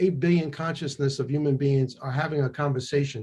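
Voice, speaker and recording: A man talks at a fairly quick pace with ordinary pitch variation and a somewhat breathy sound. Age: 70s. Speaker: chiropractor and author. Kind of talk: interview conversation. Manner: animated.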